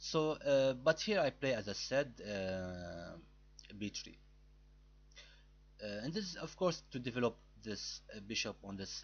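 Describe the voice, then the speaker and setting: Long, frequent pauses break up this fairly slow delivery in a non-native accent. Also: man, big swings in loudness. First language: not English. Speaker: chess YouTuber. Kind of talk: tutorial. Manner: halting.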